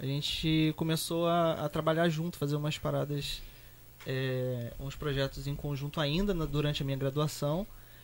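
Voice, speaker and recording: A man with an unremarkable speaking voice talks at a moderate pace, his pitch fairly high and his intonation fairly even. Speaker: designer and youtuber. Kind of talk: casual chat.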